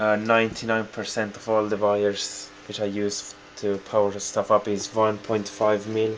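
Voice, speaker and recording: Fairly slow, monotone and flat speech with a non-native accent over noticeable background noise. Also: man. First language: not English. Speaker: hobbyist video maker. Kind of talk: home tour tutorial. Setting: in his room, filming. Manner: halting.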